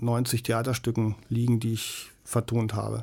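A man is speaking. His tone is dark and mellow. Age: 50s. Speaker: musician and sound producer. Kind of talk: casual interview chat. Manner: halting, many fillers.

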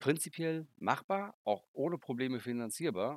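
Lively intonation colors a man's delivery at a moderate pace, in an unremarkable speaking voice. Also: dry, close sound with no echo, very clean recording, silent background. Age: 50s. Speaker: board game designer. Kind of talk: interview.

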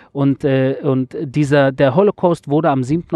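A man with a fairly high voice talks at a fairly slow pace. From Germany, Berlin (Wedding). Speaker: podcast host reporting on war. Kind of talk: casual interview. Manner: hesitant, many filler sounds.

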